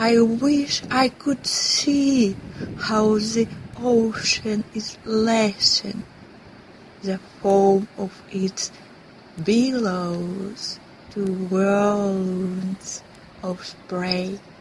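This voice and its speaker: Against noticeable background noise, a woman with a medium pitch speaks very slowly and fairly evenly, leaving long, frequent pauses. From Russia. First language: Russian. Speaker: actress. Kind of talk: poetry reading.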